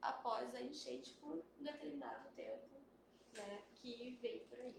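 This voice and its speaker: A soft-spoken woman talks at a very slow pace. Audible room echo surrounds her voice. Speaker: biologist. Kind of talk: live stream panel talk. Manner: hesitant, many fillers. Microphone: quiet at first, mic moved.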